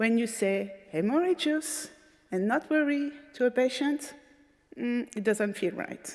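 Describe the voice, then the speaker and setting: Her pitch high and intonation lively, a woman with a French accent speaks at a fairly slow pace. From France. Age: 40s. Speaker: patient advocate speaker. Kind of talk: conference talk.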